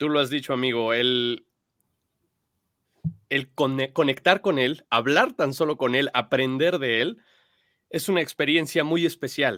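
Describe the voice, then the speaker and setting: Pausing long and often, a man speaks at a fairly slow pace and a fairly high pitch. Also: ordinary pitch variation. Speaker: show producer. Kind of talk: live show co-host talk. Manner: warm, enthusiastic.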